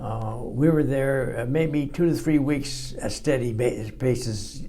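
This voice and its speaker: A man with an American accent speaks at a medium pitch with fairly even intonation. Audible room echo and noticeable background noise come through in the recording. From Los Angeles, California. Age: 90s. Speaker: war veteran. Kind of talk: oral history interview. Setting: library recording room. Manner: halting, many fillers and repeats.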